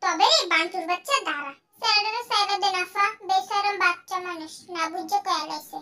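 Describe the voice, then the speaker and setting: The woman puts on a character voice. It sits extremely high in pitch. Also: moderate pace. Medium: fan dub. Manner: anxious, rustic.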